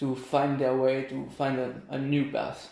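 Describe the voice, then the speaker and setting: The speaker has a French accent and talks at a fairly slow pace. Audible room echo surrounds the voice. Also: man. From France, near Paris. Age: 20s. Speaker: volunteer. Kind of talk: interview. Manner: halting.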